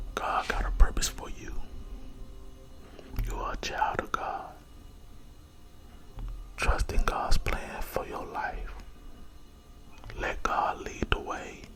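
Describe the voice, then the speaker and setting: Whispering at a very slow pace with long, frequent pauses, a man swings widely in loudness while music plays in the background. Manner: whispered, soft-spoken, slow, repetitive.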